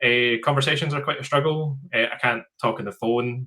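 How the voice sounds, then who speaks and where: A man speaks with a Scottish accent at a fairly high pitch. His tone is bright and sharp, and his pitch varies in an ordinary way. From rural Scotland. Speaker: software company founder. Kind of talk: interview. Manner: halting, frequent fillers.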